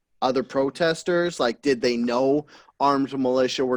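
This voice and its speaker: At a fairly slow pace, a man uses a normal speaking voice at a medium pitch with ordinary pitch variation and a dry, close sound with no echo. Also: very clean recording, silent background. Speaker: podcast host. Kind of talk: casual podcast conversation.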